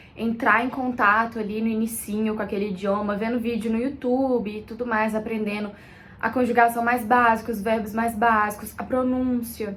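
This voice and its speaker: At a fairly quick pace, a woman speaks in a fairly high pitch amid audible room echo. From Brazil. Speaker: content creator. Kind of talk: casual vlog talk.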